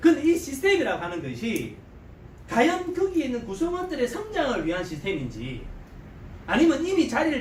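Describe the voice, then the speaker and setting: Fairly quick speech in a strong Gyeongsang accent, with noticeable background noise. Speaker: network marketing business leader. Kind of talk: seminar lecture. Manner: animated.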